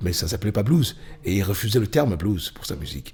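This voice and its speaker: A man is speaking. His voice is somewhat breathy. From Cameroon. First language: Bamileke (speaking French). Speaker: blues musician. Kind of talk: interview. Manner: halting, many fillers.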